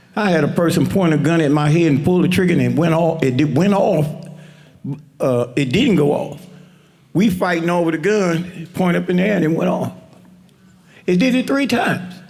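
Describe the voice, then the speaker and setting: The speech keeps a moderate pace and very even loudness, with long, frequent pauses and audible room echo. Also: man, high pitch for a man, ordinary pitch variation. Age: 70s. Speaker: community member telling his faith story. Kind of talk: testimony. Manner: halting, with many restarts.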